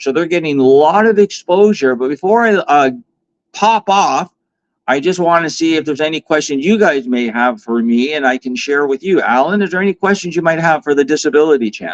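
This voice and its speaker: With lively intonation and a fairly quick pace, a man talks in an unremarkable speaking voice pitched fairly high. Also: dry, close sound with no echo. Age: 50s. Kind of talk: interview. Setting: live online stream.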